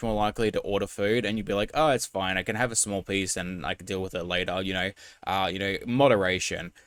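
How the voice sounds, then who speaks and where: A man's voice, dry and close with no echo, in a very clean recording with a silent background. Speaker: reaction commentator. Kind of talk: casual commentary. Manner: fast.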